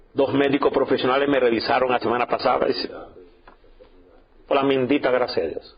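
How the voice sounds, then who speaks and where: There is noticeable background noise behind this man. He speaks at a moderate pace in an animated tone. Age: 60s. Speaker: pastor. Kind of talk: sermon.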